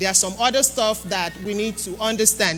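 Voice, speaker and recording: A woman's medium-pitched voice, with ordinary pitch variation, is heard against noticeable background noise. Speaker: health educator. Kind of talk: health talk to church congregation.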